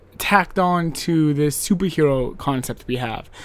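The speaker is a man with a fairly high pitch. He talks at a fairly slow pace with ordinary pitch variation. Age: 30s. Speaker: gaming podcast host. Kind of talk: casual solo monologue. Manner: animated.

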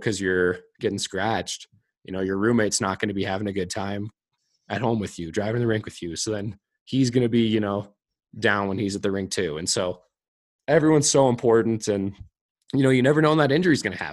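Here a man talks in a normal speaking voice. His pitch is fairly low and his pace fairly quick. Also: ordinary pitch variation. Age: 20s. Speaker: professional hockey player. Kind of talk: casual interview chat.

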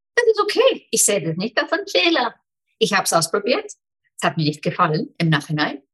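Here is a woman with an Icelandic accent. She talks at a fairly quick pace. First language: Icelandic (speaking German). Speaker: business mentor. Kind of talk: interview.

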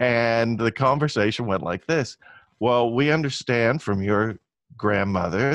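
A man with an American accent speaks at a fairly slow pace in a medium pitch, with lively intonation. He has an unremarkable speaking voice, and the background is quiet. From US West Coast (Long Beach, California). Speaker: futurist. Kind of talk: casual interview.

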